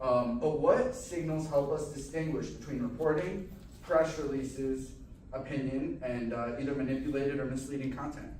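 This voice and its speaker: A man speaks at a moderate pace with fairly high pitch and fairly even intonation. Noticeable background noise and audible room echo fill the recording. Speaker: panel moderator. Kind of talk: panel moderation. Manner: loud.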